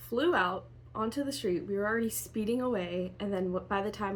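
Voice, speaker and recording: A woman talks at a fairly quick pace in a somewhat breathy voice. The room echo is audible. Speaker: lifestyle vlogger. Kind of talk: casual vlog narration. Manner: soft-spoken.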